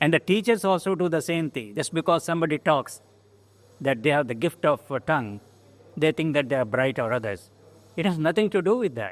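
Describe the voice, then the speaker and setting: Fairly high-pitched and lively in intonation, a man with a Goan accent talks at a fairly quick pace in a dry, close sound with no echo. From India, coastal Karnataka village. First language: Konkani. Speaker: engineering alumnus. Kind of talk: oral history interview. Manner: halting.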